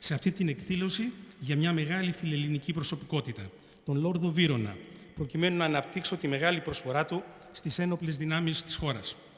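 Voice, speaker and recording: A man talks at a fairly quick pace with fairly high pitch and ordinary pitch variation. He has a plain, everyday voice. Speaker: retired army general and speaker. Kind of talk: formal speech. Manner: formal.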